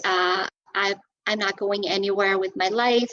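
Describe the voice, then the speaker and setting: A woman with a Portuguese accent talks at a fairly high pitch and a moderate pace, with ordinary pitch variation. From Portugal. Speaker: Zumba instructor and personal trainer. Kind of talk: interview. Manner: halting, many fillers.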